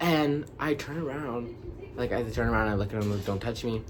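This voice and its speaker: The delivery is very fast with an animated tone. Noticeable background noise runs underneath. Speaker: storytime vlogger. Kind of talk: casual storytelling monologue.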